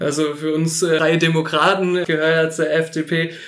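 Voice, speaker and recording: Pitched fairly high, a man's voice comes through. He takes a fairly slow pace. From Filderstadt, Baden-Württemberg, Germany. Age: 30s. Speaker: state politician. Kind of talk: interview. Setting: on site in the kindergarten.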